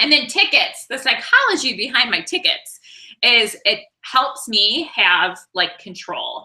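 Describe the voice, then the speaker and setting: A woman speaks loudly at a fairly slow pace. Her high voice swings very widely in pitch. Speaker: sales trainer for direct-selling consultants. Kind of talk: training session. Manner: casual, filler-heavy.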